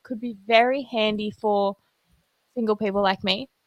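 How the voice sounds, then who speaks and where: A woman talks with fairly even intonation at a fairly high pitch, in an unremarkable speaking voice. The sound is dry and close, with no echo. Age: 20s. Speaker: podcast host. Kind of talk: casual chat. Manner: rambling, chatty.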